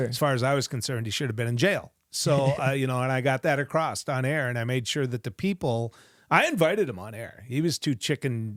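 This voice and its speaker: A man with an ordinary speaking voice and an American accent talks at a fairly quick pace with hardly any pauses, at a medium pitch with ordinary pitch variation. The very clean recording has a silent background and a dry, close sound with no echo. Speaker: radio talk show host and former politician. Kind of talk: podcast interview answer.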